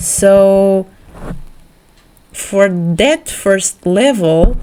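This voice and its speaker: A woman with a non-native accent speaks at a medium pitch over noticeable background noise. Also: ordinary pitch variation. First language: not English. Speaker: art YouTuber. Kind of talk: casual vlog. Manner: halting, many repeats; animated.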